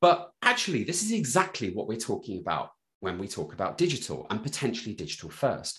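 His voice comes across somewhat breathy. The man's pace is fairly quick. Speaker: digital health consultant. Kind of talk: interview.

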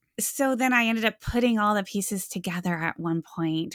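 A woman with an American accent speaks at a fairly quick pace in a plain, everyday voice, with ordinary pitch variation, on a very clean recording with a silent background. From US Midwest (Iowa). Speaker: history professor and author. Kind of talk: interview.

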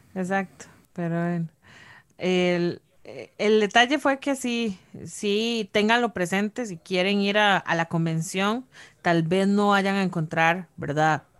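On a very clean recording with a silent background, a woman talks at a very slow pace with a medium pitch and ordinary pitch variation. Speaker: board game podcast co-host. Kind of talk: casual chat. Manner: talkative.

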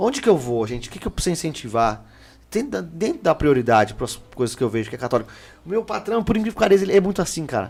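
This man talks very fast in a fairly high voice, his pitch swinging very widely. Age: 30s. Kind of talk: casual chat. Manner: animated.

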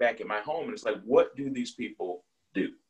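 A man speaks with an American accent at a fairly quick pace. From US Northeast, Buffalo, New York (east side). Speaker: life insurance sales agent. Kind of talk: interview.

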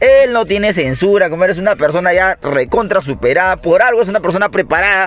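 A man with a high pitch speaks very fast with hardly any pauses, keeping his loudness very even and his pitch variation ordinary over noticeable background noise. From Peru, Lima (Cono Norte). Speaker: podcast co-host. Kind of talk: casual chat.

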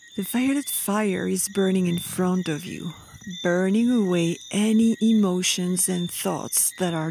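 Noticeable background noise sits behind a woman speaking at a fairly slow pace. Her medium-pitched voice has a calm, soothing tone and ordinary pitch variation. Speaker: meditation guide. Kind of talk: guided meditation. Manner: slow, calm, soothing, with gentle pauses.

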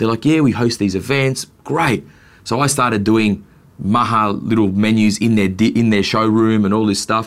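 A man's medium-pitched voice with an Australian accent. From Australia, Melbourne. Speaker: chef and restaurateur. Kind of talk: casual interview.

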